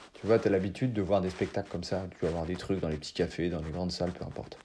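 Very fast and somewhat breathy, a man speaks in a very deep, low voice with a dark, mellow tone. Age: 30s. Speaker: improv actor. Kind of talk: interview conversation. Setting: remote call. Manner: hesitant, many fillers.

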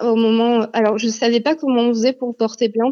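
A woman speaks at a moderate pace, her fairly high voice carrying a dark, mellow tone. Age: 30s. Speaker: teacher, abuse survivor. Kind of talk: testimony. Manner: hesitant, many fillers.

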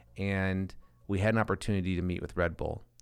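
In an Upper Midwest accent, the speaker talks in a monotone, flat intonation in a very clean recording with a silent background. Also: man. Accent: Upper Midwest American. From South Dakota, small town near Sioux Falls. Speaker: advertising agency founder. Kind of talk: casual interview.

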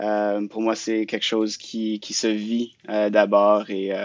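This man's voice is pitched fairly low. He speaks at a very slow pace. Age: 20s. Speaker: youth francophone council president. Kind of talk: interview.

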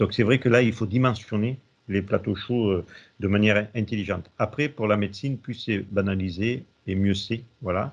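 With fairly even intonation and a fairly low pitch, a man's speech proceeds at a moderate pace. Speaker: hospital director. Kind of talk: interview. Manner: halting, many hesitations and repeated words.

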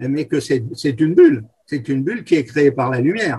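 This man's voice is pitched fairly high. It comes across somewhat breathy. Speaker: freemason, guest. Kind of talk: interview. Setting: remote recording.

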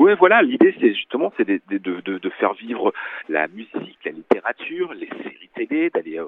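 A man speaks at a moderate pace. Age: 40s. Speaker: magazine editor. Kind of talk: phone interview. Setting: phone call.

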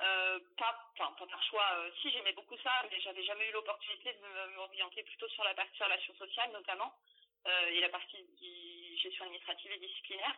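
Using a normal speaking voice, a woman talks at a fairly quick pace and medium pitch with fairly even intonation. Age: 30s. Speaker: HR manager. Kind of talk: interview.

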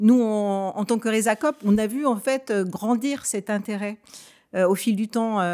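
A woman speaks at a fairly slow pace in a fairly high pitch, with ordinary pitch variation, on a very clean recording with a silent background. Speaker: network director. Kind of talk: panel discussion interview.

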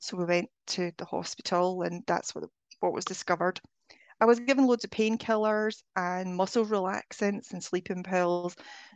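A woman with a Scottish accent and fairly even intonation, in a dry, close sound with no echo over a quiet background. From Scotland. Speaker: spiritual healing coach. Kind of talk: interview.

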